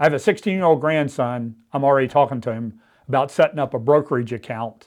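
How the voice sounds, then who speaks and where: Over a quiet background, a man with a normal speaking voice talks at a fairly quick pace, medium in pitch and ordinary in pitch variation. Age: 60s. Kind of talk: teaching talk to pastors. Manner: conversational, informal.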